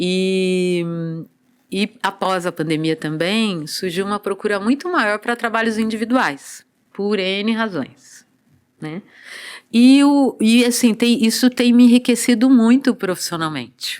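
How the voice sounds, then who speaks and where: Very slow speech from a woman with a fairly high pitch and lively intonation, on a very clean recording with a silent background. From Brazil, São Paulo coast (Santos region). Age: 60s. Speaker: dancer and body therapist. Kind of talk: podcast interview.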